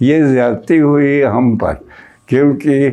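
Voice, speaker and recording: Against a quiet background, a man speaks in a dark, mellow tone. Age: 80s+. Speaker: lawyer. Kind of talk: interview answer.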